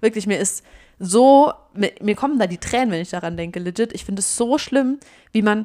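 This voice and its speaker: This is a normal speaking voice with ordinary pitch variation. It moves at a moderate pace in a very clean recording with a silent background. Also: woman. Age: 20s. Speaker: podcast co-host. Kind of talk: casual chat.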